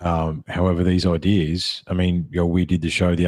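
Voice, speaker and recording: A man with an Australian accent speaks at a fairly quick pace in a dark, mellow tone. His pitch is very deep and low, and his intonation is monotone and flat. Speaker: podcast host. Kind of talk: casual chat. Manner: halting.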